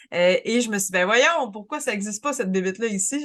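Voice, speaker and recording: A woman speaks at a moderate pace in a medium pitch, with an unremarkable speaking voice. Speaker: podcast co-host. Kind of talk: casual podcast conversation.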